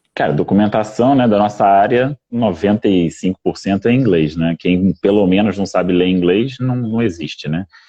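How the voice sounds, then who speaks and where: This man has an ordinary speaking voice, fairly low in pitch, with ordinary pitch variation, a moderate pace and hardly any pauses. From Brazil. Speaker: IT business manager. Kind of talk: casual live stream chat.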